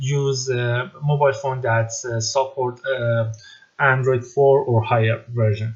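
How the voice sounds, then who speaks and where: A man speaks at medium pitch in a somewhat breathy voice. His intonation is monotone and flat. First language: not English. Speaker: tech tutorial maker. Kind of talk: tutorial. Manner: halting, many fillers.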